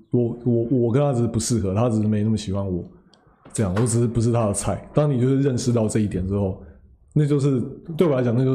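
Very fast and dark, mellow in tone, a man with a Taiwanese accent speaks with ordinary pitch variation amid audible room echo. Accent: Taiwanese Mandarin. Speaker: podcast co-host. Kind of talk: casual chat.

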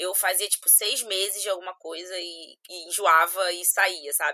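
In a dry, close recording with no echo, a woman speaks at a moderate pace and medium pitch with a bright, sharp tone and a monotone, flat intonation. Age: 20s. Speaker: CrossFit athlete and personal trainer. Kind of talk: casual interview chat.

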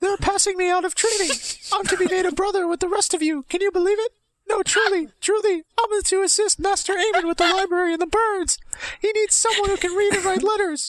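At a fairly quick pace, this put-on character voice squeaks along at an extremely high pitch. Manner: excited, eager.

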